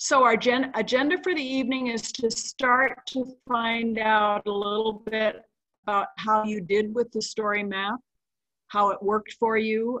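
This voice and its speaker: Against a quiet background, a woman with a bright, sharp tone speaks at a fairly slow pace with ordinary pitch variation. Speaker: session host. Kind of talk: meeting introduction. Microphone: video call.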